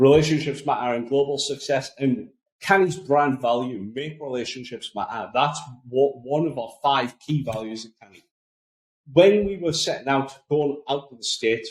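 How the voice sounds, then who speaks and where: With a strong Geordie accent, this man talks at a moderate pace in a fairly high pitch, his pitch varying in an ordinary way while his loudness swings widely. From northeast England, Newcastle area. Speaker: podcast host, marketing agency. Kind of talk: podcast monologue, business tips. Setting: small office room.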